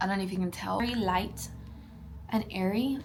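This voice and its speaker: Speaking in an American accent, a woman shows ordinary variation in her pitch. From South Texas. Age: 20s. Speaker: lifestyle vlogger. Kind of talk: casual Q&A vlog. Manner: animated.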